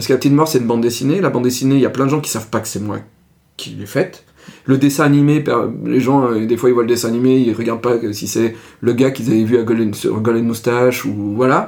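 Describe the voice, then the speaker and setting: Words come from a man at a very fast pace. The intonation stays fairly even at a medium pitch. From France, Ardèche. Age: 40s. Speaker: comic book artist and video creator. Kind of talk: casual interview.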